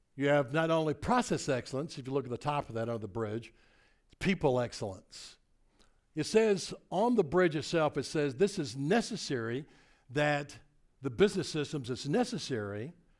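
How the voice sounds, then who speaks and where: In a Tennessee accent, a man with a fairly high voice speaks at a moderate pace in an animated tone with very wide pitch swings, on a very clean recording with a silent background. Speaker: motivational speaker. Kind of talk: keynote presentation.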